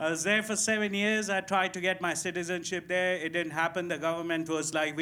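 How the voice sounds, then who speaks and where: With an Indian accent, a man speaks at a fairly quick pace in a high pitch, using a bright, sharp tone and fairly even intonation. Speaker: stand-up comedian. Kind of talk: stand-up. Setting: stage with audience.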